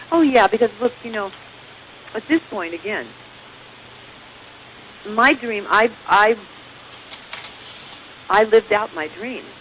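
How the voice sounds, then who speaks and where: A woman with an American accent speaks at a fairly slow pace with long, frequent pauses, her fairly high pitch varying in an ordinary way and her loudness swinging widely over noticeable background noise. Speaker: actress. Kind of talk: interview answer.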